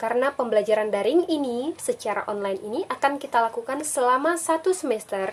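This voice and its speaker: Against noticeable background noise, a woman speaks at a fairly quick pace in a high voice with lively intonation. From Indonesia, Sambas, West Kalimantan. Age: 20s. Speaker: teacher. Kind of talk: online lesson.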